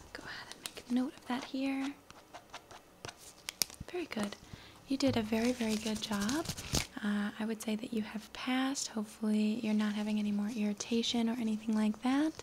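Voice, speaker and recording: A soft-spoken woman uses a gentle tone and fairly even intonation, leaving long, frequent pauses. Noticeable background noise sits behind her. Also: moderate pace. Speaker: content creator in a pretend eye-doctor role. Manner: soft, gentle ASMR voice. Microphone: phone near.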